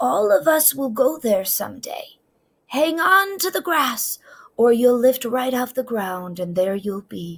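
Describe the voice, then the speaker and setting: A woman uses a put-on character voice, pitched high with very wide pitch swings. She talks at a fairly slow pace. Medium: read story. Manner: warm, tender.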